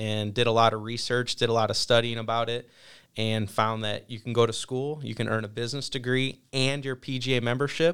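A man with a Midwestern US accent speaks at a medium pitch and a fairly quick pace. His intonation is monotone and flat, and the recording is very clean with a silent background. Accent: US Midwest. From Ohio, Toledo area. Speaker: golf program instructor. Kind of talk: interview.

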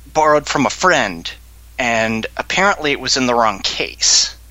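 Noticeable background noise surrounds a man's medium-pitched voice. His intonation is lively. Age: 20s. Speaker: podcast guest, anime and gaming fan. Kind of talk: casual chat.

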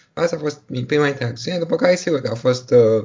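A man speaks at a fairly quick pace with ordinary pitch variation. His voice is somewhat breathy. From Romania, Bucharest. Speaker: doctor. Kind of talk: interview. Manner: halting.

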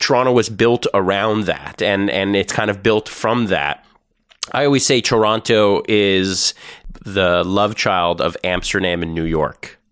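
A man with a Canadian accent has a plain, everyday voice, fairly low in pitch. He speaks at a fairly slow pace with ordinary pitch variation. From Ontario, Canada. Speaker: podcast host. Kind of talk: casual interview.

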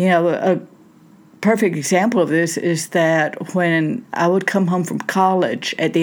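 A woman speaks with a Southern US accent at a fairly low pitch. The recording is very clean, with a silent background. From Southern United States. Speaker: minister and therapist, podcast host. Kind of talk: solo podcast talk on faith and self-help. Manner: conversational, with fillers.

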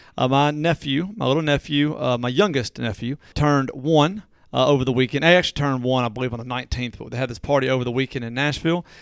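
In a very clean recording with a silent background, a man with a Southern US accent talks at a very fast pace with hardly any pauses. His pitch is medium, with ordinary variation. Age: 40s. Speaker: local podcast co-host. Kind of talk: casual chat.

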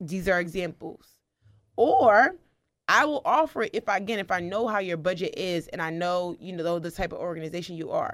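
A woman speaks at a medium pitch with lively intonation and a fairly quick pace. Hers is an unremarkable speaking voice, recorded very cleanly against a silent background. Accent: American. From US Northeast, New Jersey. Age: 20s. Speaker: public speaker and foster care advocate. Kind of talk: interview conversation. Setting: studio.

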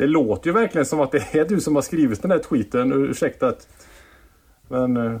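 A man with an ordinary speaking voice, fairly high pitch, moderate pace and very even loudness, in a very clean recording with a silent background. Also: lively intonation. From Mark municipality, West Sweden. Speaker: student radio host. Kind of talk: casual chat.

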